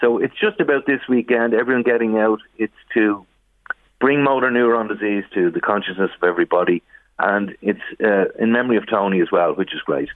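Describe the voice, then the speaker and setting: This man has an Irish accent and a medium pitch. He talks at a fairly quick pace with ordinary pitch variation. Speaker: brother of a charity fundraiser. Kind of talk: radio phone interview. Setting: phone call.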